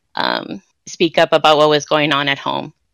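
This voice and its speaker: With an American accent, a woman speaks in a bright, sharp tone against a quiet background, the sound dry with no echo. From Santa Ana, Orange County, California; California. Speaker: writer and theater producer; podcast guest. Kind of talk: interview conversation. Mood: warm, reflective, smiling.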